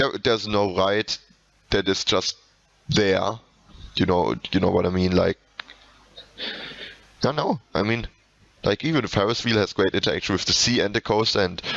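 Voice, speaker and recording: A man with a German accent and a fairly low pitch talks at a moderate pace with ordinary pitch variation, long, frequent pauses and noticeable background noise. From Germany. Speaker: video game reviewer / podcast host. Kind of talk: casual video game review commentary. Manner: halting, many repetitions and fillers.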